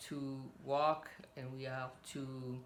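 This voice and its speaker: A woman with a French accent speaks at a very deep, low pitch, with audible room echo. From French; raised in Cameroon and South Pacific. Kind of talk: casual religious talk. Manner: relaxed.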